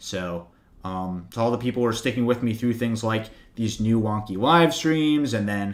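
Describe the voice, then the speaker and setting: A man with an American accent, an ordinary speaking voice, medium pitch, ordinary pitch variation and a moderate pace. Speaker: finance YouTuber. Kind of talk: livestream Q&A with chat. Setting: home livestream with webcam. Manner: casual, many fillers. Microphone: new good microphone.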